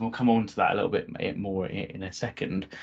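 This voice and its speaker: Here a man speaks with a British accent. His pace is fairly quick. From UK. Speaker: cloud solution architect. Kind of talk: technical presentation. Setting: video call. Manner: hesitant, many fillers.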